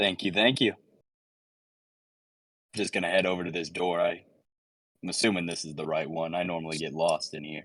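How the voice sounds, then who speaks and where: A man uses a put-on character voice that is very deep and raspy, with fairly even intonation. He talks at a fairly quick pace, broken by long, frequent pauses. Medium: actual play.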